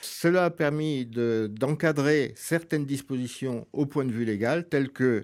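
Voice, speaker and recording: A man speaks at a very slow pace in a medium pitch, with ordinary pitch variation. The recording is very clean, with a silent background. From France. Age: 70s. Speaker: senior employment advocate. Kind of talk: interview. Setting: hotel recording.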